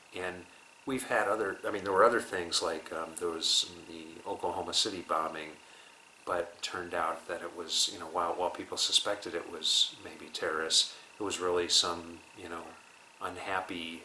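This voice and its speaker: Someone with an American accent speaks at a moderate pace against noticeable background noise. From United States. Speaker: interviewee. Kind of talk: interview.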